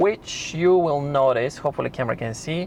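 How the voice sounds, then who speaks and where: Speaking with a non-native accent, a man uses a fairly high pitch, ordinary pitch variation, and a moderate pace. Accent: foreign accent, self-noted. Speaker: YouTube car reviewer. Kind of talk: tutorial. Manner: halting.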